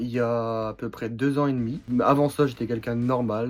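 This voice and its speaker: Speaking at a fairly quick pace, a man uses a medium pitch and fairly even intonation. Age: 20s. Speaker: strongman athlete. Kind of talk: personal testimony. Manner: casual, hesitant with fillers.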